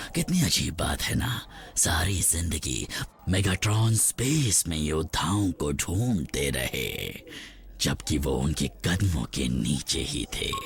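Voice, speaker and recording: A man puts on a character voice, very deep and low, with a pompous, theatrical tone. He speaks very slowly over clear background noise. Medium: fan dub.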